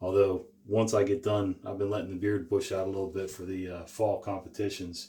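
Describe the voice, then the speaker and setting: Quiet and mumbling, a man speaks at a fairly quick pace with a dark, mellow tone, fairly low pitch, somewhat breathy quality and monotone, flat intonation. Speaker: shaving channel host. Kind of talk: casual tutorial. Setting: small room, talking to camera.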